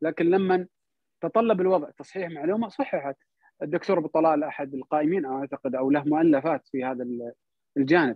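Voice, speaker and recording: Here is a man with a plain, everyday voice and a fairly high pitch. He keeps a moderate pace and ordinary pitch variation. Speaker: cultural salon host, guest speaker. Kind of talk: online talk on history. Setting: online audio/video call.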